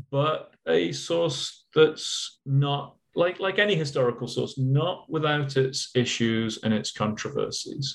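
With a British accent, a man speaks using lively intonation. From England. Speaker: archive curator and historian. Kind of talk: interview.

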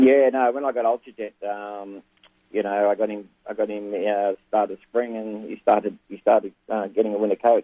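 A man with an Australian accent speaks in a fairly low voice. His intonation is flat and monotone. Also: moderate pace. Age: 60s. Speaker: harness racing trainer. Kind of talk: interview. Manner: halting.

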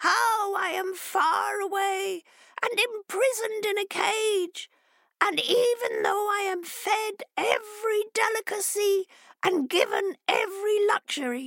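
In a put-on character voice pitched extremely high, a woman talks at a fairly slow pace. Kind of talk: children's storytelling. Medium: read story. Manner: pleading, earnest, then eager and impatient.

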